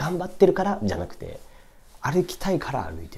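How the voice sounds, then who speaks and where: The speaker is a man. He talks fairly quickly. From Tokyo, Japan. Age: 20s. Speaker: YouTuber reviewing books; book review vlogger. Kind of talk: casual solo monologue book review; casual vlog chat. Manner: rambling, filler-heavy. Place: home room. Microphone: camera far.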